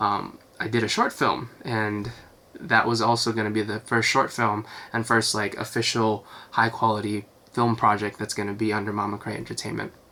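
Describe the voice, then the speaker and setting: The man's intonation is monotone and flat. His pitch is fairly low and his pace moderate. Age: 20s. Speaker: singer and record label founder. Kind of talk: casual vlog talk. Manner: many fillers (um, uh, like).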